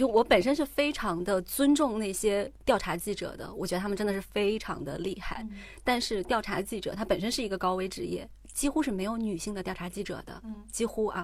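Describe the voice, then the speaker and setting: Medium in pitch with ordinary pitch variation, a woman with an ordinary speaking voice talks at a fairly quick pace on a very clean recording with a silent background. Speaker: podcast host. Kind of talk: casual chat.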